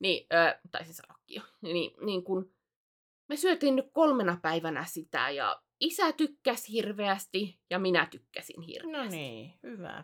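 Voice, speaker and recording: Speaking at a very slow pace, a woman with a medium pitch makes very wide pitch swings and big swings in loudness. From South Ostrobothnia, Finland (Alajärvi area). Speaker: podcast co-host and video streamer. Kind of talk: casual chat. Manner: frequent hesitations and filler sounds.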